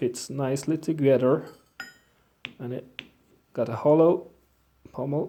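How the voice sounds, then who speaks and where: Spoken at a fairly slow pace with a Swedish accent, the speech has long, frequent pauses. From Sweden. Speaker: bladesmith. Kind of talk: tutorial. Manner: halting.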